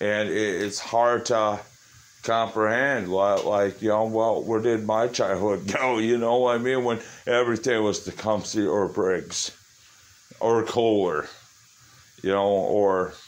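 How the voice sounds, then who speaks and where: Loudness stays very even as a man talks at a fairly slow pace, fairly low in pitch, his intonation fairly even. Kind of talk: casual vlog chat. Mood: nostalgic, reflective. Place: garage. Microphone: phone near.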